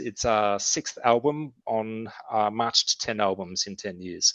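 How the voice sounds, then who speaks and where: This voice belongs to a man. His accent is Australian. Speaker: metal band frontman. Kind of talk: casual interview chat.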